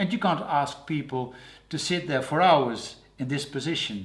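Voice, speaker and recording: With a Dutch accent, the speaker goes at a fairly slow pace with ordinary pitch variation. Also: man. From Netherlands. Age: 60s. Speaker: portrait painter. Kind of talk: interview. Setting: artist's studio. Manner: halting.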